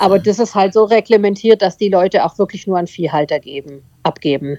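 Speaking in a normal speaking voice, a woman moves at a fairly quick pace with lively intonation and a medium pitch. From southern Germany, Tübingen. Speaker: dog breeder and herder. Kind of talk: casual interview.

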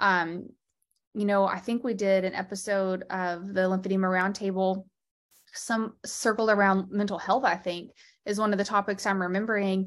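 Against a quiet background, a woman with an American accent speaks at a medium pitch. Her pace is moderate and her intonation monotone and flat. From Texas. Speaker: lymphedema therapist and podcast host. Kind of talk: interview.

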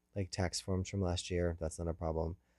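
A man's very deep, low voice with a dark, mellow tone in a very clean recording against a silent background. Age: 40s. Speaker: personal audio diarist. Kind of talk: personal audio diary. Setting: in a parked car. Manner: halting, many fillers.

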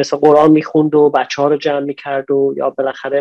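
The man's fairly high voice moves at a moderate speed, with a quiet background behind it. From Iran, Najafabad near Isfahan. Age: 40s. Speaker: businessman, importer and exporter. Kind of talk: interview conversation. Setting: online call.

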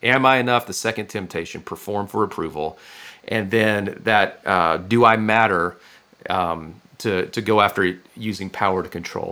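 Here a man with an American accent uses an ordinary speaking voice at a fairly low pitch with ordinary pitch variation. He keeps a moderate pace in a very clean recording with a silent background. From Northwest Florida. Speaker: pastor and author. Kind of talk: interview.

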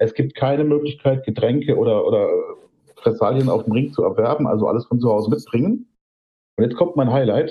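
A man with a fairly high pitch and ordinary pitch variation talks at a fairly quick pace, somewhat breathy and very even in loudness, with long, frequent pauses. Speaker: podcast co-host and photographer. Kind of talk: casual chat.

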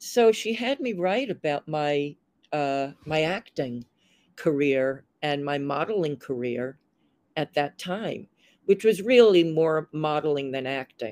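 A woman speaks at a very slow pace in a very deep, low pitch with lively intonation. The sound is dry and close, with no echo. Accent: New York. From US, Long Island, New York. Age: 70s. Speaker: former model and fashion producer, writer. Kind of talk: interview, casual chat.

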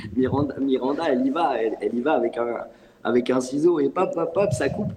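At a moderate pace, a man speaks with a fairly high pitch and ordinary pitch variation over noticeable background noise. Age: 40s. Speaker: acting coach. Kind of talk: panel discussion. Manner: halting, many repetitions.

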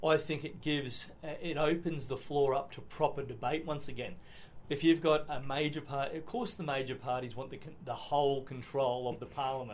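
Someone speaks with an Australian accent at a moderate pace and fairly even intonation. Noticeable background noise and audible room echo are present. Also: man, fairly high pitch for a man. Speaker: state politician. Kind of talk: interview.

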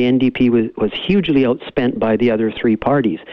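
Noticeable background noise sits behind a man speaking at a moderate pace with a Canadian accent. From Canada, Cariboo region of BC. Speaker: lawyer and political candidate. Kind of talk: phone interview. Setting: phone call.

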